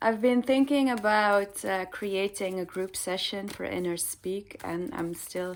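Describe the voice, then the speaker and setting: Speaking in a Dutch accent, a woman at a medium pitch talks at a fairly slow pace with hardly any pauses and ordinary pitch variation. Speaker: spiritual card reader. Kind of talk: casual chat to viewers; tarot card reading. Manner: hesitant, many fillers.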